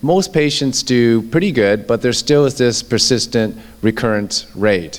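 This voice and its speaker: A man speaks in a normal speaking voice at a medium pitch. His pace is moderate, with ordinary pitch variation. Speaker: orthopedic surgeon. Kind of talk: lecture.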